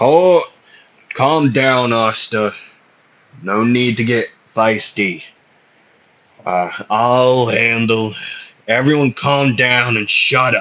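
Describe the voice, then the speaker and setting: A booming, put-on character voice is used here. It moves at a very slow pace with long, frequent pauses. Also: man, medium pitch for a man. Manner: commanding, gruff.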